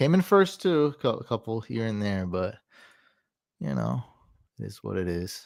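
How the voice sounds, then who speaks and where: Quiet and fairly low-pitched, a man speaks at a fairly slow pace with very wide pitch swings and long, frequent pauses. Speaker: fantasy football streamer. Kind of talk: live stream commentary. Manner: casual.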